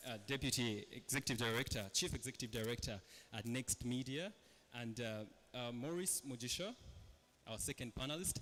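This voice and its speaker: A man's medium-pitched voice with a Ugandan accent, ordinary pitch variation and a bright, sharp tone. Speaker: panel moderator. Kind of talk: panel discussion moderation.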